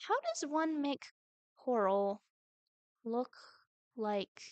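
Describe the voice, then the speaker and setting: Quiet and very slow, a woman speaks at a high pitch with very wide pitch swings. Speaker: streamer. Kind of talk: gameplay commentary.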